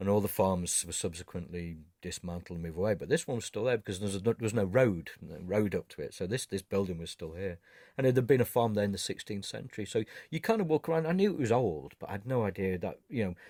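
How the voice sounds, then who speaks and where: A man with a northern English accent, fairly low in pitch and very fast, in a dry, close sound with no echo on a very clean recording with a silent background. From northern England. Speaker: photographer. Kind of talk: interview. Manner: halting.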